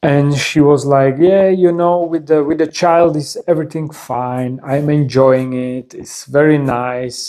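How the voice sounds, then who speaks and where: A man's fairly high voice with a dark, mellow tone, a non-native accent, a fairly slow pace, fairly even intonation and hardly any pauses. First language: not English. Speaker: video creator sharing personal stories. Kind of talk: personal storytelling monologue. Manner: halting, many repetitions and fillers.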